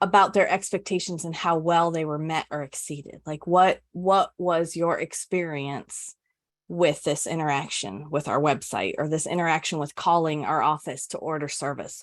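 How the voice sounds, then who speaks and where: Against a quiet background, a woman talks at a moderate pace in an ordinary speaking voice, fairly low in pitch, with fairly even intonation. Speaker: customer experience executive presenting a webinar. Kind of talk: webinar presentation with Q&A. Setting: online webinar.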